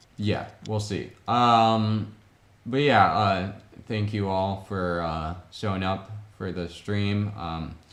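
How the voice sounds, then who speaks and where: Amid noticeable background noise and audible room echo, a man speaks at a very slow pace in a fairly low voice with fairly even intonation. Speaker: Lego builder streamer. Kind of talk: casual live stream chat. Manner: hesitant, many filler words.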